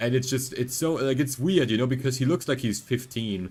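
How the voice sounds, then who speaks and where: Over music in the background, a man with a non-native accent speaks at a moderate pace and medium pitch. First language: not English. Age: 20s. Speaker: vtuber streamer. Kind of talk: casual gaming livestream chat. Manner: animated.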